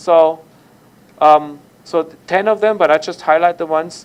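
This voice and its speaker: A man speaks loudly with a German accent. His pitch varies in an ordinary way. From Germany. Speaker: university lecturer. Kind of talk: lecture.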